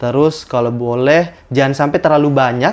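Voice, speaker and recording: The man's voice has a medium pitch and ordinary pitch variation. He talks at a fairly quick pace. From South Sulawesi, Bone. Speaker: medical student. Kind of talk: podcast interview. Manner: hesitant, many fillers.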